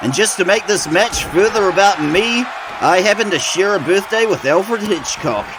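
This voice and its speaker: Over noticeable background noise, a man with a high pitch speaks at a moderate pace, with ordinary pitch variation and very even loudness. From New Zealand. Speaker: wrestling commentator. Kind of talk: live commentary. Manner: animated.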